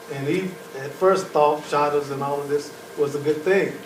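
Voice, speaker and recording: Noticeable background noise and audible room echo surround a man whose intonation stays fairly even. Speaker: professor. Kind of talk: lecture. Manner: loud.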